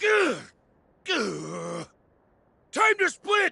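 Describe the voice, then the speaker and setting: A raspy, put-on character voice, raised and projected. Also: man. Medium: video game. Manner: gruff, blustering.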